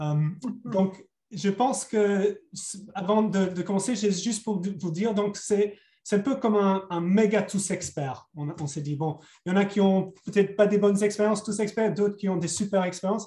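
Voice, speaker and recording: Speaking with a slight English accent, a man with a high pitch and a dark, mellow tone keeps a moderate pace and fairly even intonation. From England. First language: English (speaking French). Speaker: webinar facilitator. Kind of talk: webinar introduction. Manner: hesitant, many repetitions.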